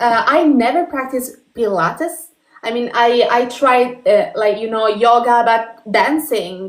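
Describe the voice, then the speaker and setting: A woman's high-pitched voice with an Italian accent. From northern Italy, Turin. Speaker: podcast host. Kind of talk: interview. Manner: halting.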